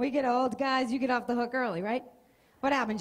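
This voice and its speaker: A woman speaks at a very fast pace. Her pitch sits high. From Boston area, US Northeast. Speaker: stand-up comedian. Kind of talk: stand-up. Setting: stage with audience. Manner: animated. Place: stage. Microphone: handheld.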